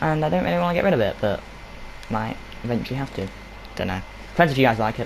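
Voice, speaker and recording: Against noticeable background noise, a man mumbles at a very fast pace and medium pitch, with very wide pitch swings and long, frequent pauses. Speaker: gaming youtuber. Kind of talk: game map showcase walkthrough. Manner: mumbling.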